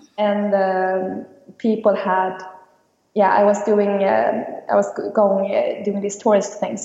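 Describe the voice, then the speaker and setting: A woman speaks very slowly with a Swedish accent and fairly even intonation. Room echo is audible. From Sweden, Stockholm. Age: 20s. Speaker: business student. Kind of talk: interview. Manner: halting.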